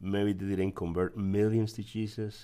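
This man speaks at a fairly low pitch with a Guatemalan accent. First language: Spanish. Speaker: church member sharing testimony. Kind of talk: testimony.

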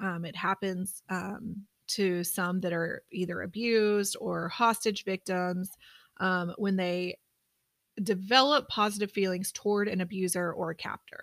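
A woman with an ordinary speaking voice at medium pitch, fairly slow and fairly even in intonation, on a very clean recording with a silent background. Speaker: private investigator. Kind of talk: casual chat.

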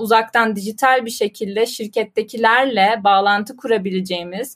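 A woman in a normal speaking voice, fairly high in pitch with ordinary variation, speaks at a moderate pace in a very clean recording with a silent background. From Turkey, Ankara. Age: 20s. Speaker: business analyst at angel investor network. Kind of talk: casual interview.

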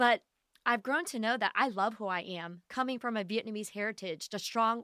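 A woman with an unremarkable speaking voice, fairly high pitch, fairly even intonation and a moderate pace, in a very clean recording with a silent background and a dry, close sound with no echo. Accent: American. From Ohio, Dayton area. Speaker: dentist. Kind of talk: interview storytelling.

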